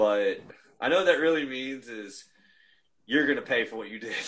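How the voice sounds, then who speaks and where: A man of medium pitch speaks at a moderate pace with ordinary pitch variation, big swings in loudness, and long, frequent pauses. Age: 30s. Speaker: volleyball coach. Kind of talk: casual interview. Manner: hesitant, many fillers.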